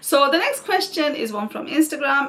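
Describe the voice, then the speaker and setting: A woman talking at a medium tempo, noticeable noise in the background. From northern England (Oldham, Greater Manchester). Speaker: YouTuber, mother of seven. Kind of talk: Q&A casual chat to camera. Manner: chatty, relaxed.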